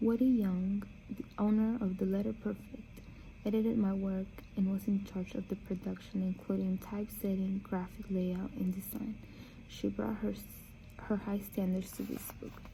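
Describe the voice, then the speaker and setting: A woman's medium-pitched voice, dark, mellow and somewhat breathy, with monotone, flat intonation at a moderate pace. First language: Spanish. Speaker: book reader. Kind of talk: reading aloud; casual chat. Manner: halting.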